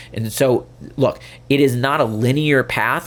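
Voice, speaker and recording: This man sounds animated, at a medium pitch with ordinary variation. Vocal fry runs through his voice. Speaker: podcast host, therapist and leadership coach. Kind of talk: solo podcast talk. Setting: video podcast. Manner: fast.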